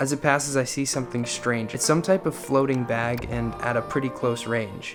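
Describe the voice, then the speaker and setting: A man speaks at a moderate pace with medium pitch and fairly even intonation. Music plays in the background. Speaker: solo backpacker and filmmaker. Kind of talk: spoken word poetry narration.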